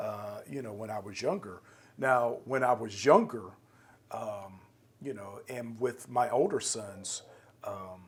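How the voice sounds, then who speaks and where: At a very slow pace with long, frequent pauses, a man speaks at medium pitch in a somewhat breathy voice, with lively intonation and big swings in loudness. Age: 50s. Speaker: podcast host. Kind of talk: interview conversation.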